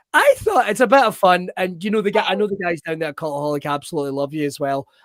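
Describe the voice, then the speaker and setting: In a strong Scottish accent, a man races at a very fast pace with a high pitch and lively intonation, the sound dry and close with no echo. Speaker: wrestling show host. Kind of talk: casual chat.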